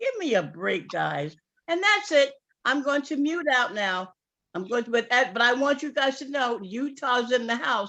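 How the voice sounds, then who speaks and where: In a New York accent, a woman with a high, bright and sharp voice speaks at a fairly slow pace in an animated tone, her pitch swinging very widely. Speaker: sales distributor. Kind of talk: testimony.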